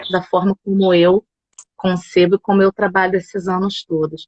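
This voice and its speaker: Medium-pitched female speech at a moderate pace. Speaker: yoga instructor. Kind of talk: casual chat. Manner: animated. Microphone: phone.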